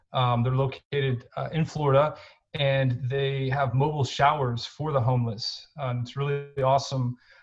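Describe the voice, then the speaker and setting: A man with an American accent talks at a moderate pace and medium pitch, somewhat breathy and with a monotone, flat intonation. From Texas, Houston. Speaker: nonprofit co-founder. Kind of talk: interview. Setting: podcast. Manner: halting, many fillers.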